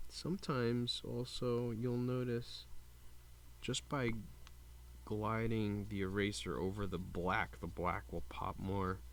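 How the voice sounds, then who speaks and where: Speaking quietly and at a very slow pace, a man uses a fairly low pitch and lively intonation. Audible room echo surrounds his voice. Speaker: comic book collector and restorer. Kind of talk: tutorial. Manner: quiet while concentrating.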